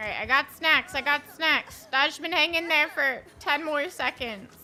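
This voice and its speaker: At a fairly slow pace, a woman speaks in a raised, projected voice, high-pitched, with ordinary pitch variation. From New Jersey. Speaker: gaming streamer. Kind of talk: live gameplay stream chat. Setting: live stream. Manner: animated.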